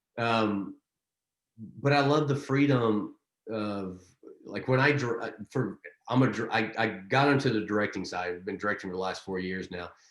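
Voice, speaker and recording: A man talks with ordinary pitch variation, leaving long, frequent pauses. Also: medium pitch for a man, moderate pace. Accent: Texas. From Texas. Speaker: actor and director. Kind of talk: interview. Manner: halting, repeats words.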